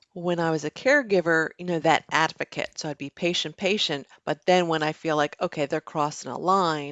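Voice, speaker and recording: Speaking at a moderate pace with hardly any pauses, a woman uses a fairly low pitch and fairly even intonation. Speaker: life coach. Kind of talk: casual chat. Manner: calm.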